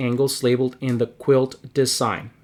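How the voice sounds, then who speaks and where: Here is a man with an ordinary speaking voice and a medium pitch. He speaks at a fairly slow pace on a very clean recording with a silent background. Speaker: math teacher. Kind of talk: lecture.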